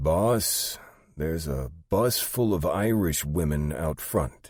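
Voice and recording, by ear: Putting on a character voice, a man speaks slowly at an extremely low pitch with lively intonation and a slightly mellow tone.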